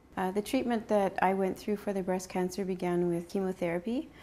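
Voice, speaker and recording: In a very clean recording with a silent background, a woman with a Canadian accent speaks at medium pitch and a moderate pace, her dark, mellow tone carrying ordinary pitch variation. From Sudbury, Ontario, Canada. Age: 40s. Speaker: cancer survivor. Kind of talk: interview testimony.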